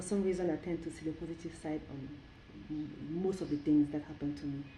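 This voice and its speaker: A woman speaks in a very deep, low pitch with monotone, flat intonation and big swings in loudness. Room echo is audible. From Cameroon. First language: French. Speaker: cultural event organizer. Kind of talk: interview. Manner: halting.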